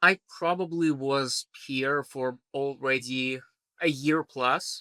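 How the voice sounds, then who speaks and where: A man with a Belarusian accent and a fairly high voice, very slow pace and fairly even intonation, in a dry, close sound with no echo. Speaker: trial lawyer. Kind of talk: podcast interview answer. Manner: casual, conversational.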